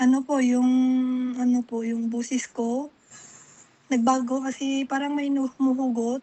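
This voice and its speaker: With long, frequent pauses, a woman talks at a fairly slow pace and a high pitch. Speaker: caller. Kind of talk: phone consultation.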